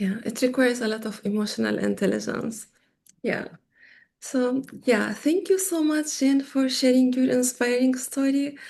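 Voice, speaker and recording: A soft-spoken woman talks at a moderate pace and a high pitch, with ordinary pitch variation, against a quiet background. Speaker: interview host and tech educator. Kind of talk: interview.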